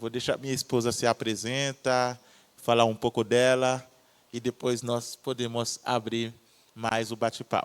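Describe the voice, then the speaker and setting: A man with a Haitian accent, fairly slow and flat in a monotone, in a dry, close recording with no echo. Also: medium pitch for a man. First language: Haitian Creole (speaking Portuguese). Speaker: missionary. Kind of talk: testimony.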